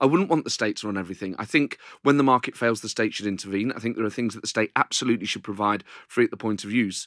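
Talking at a very fast pace, this man keeps his pitch fairly low. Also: dry, close sound with no echo, very clean recording, silent background. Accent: East Midlands. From Nottingham, England. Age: 40s. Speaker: comedian. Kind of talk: interview.

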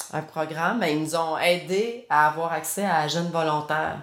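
Heard with audible room echo, a woman speaks at a fairly low pitch with ordinary pitch variation. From Quebec, Granby. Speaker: punk rock musician. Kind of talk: casual interview.

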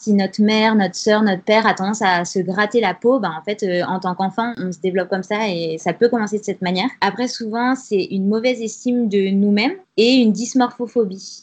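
A woman talks at a fairly quick pace, her pitch fairly high and her intonation fairly even. Her voice is somewhat breathy. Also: hardly any pauses. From France, Grenoble. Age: 20s. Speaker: freelance communications writer. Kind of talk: interview testimony.

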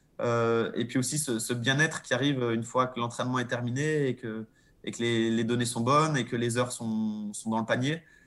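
A man's medium-pitched voice at a moderate pace, monotone and flat in intonation. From Monaco. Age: 30s. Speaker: professional cyclist. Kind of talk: interview. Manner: hesitant.

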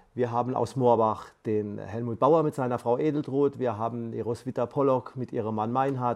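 A man speaks at a moderate pace and medium pitch, with hardly any pauses and fairly even intonation. He has an ordinary speaking voice, heard against a quiet background. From Palatinate, Germany. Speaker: aid volunteer, retired teacher. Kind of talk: interview. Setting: studio.

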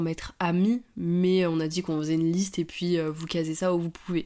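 Her voice fairly low, dark and mellow, a woman talks at a fairly quick pace with fairly even intonation. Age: 20s. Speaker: podcast co-host. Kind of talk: casual chat.

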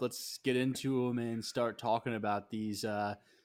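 This is an ordinary speaking voice with fairly even intonation at a moderate pace. The recording is very clean, with a silent background. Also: man. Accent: American. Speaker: soccer podcast co-host. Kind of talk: casual chat.

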